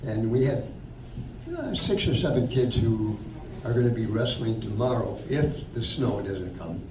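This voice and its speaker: A man with a Midwestern American accent speaks fairly slowly amid noticeable background noise and audible room echo. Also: medium pitch for a man, ordinary pitch variation. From northern Illinois. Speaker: retired wrestling coach. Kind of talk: talk to a local audience. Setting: room with audience. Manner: loud, projecting; halting, many fillers.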